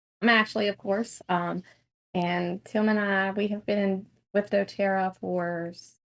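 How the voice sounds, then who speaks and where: A woman in a Southern US accent, medium-pitched, fairly slow and flatly monotone. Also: big swings in loudness. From North Carolina. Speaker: network marketing business owner. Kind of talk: casual interview.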